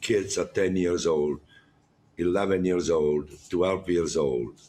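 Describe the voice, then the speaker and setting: A man's very deep, low voice with a strong non-native accent. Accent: strong foreign. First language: Italian. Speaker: chef running a jail cooking program. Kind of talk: interview. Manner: halting; animated.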